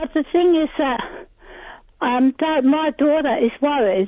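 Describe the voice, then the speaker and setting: Her pitch is high. This woman's pitch variation is ordinary. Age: 70s. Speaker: caller. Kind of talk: radio call-in. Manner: halting.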